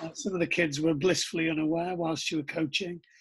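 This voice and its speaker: Over a quiet background, a man with a Teesside accent talks in a high, bright, sharp voice with fairly even intonation. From northern England, Middlesbrough. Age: 40s. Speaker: rugby coach and coach developer. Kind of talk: casual chat.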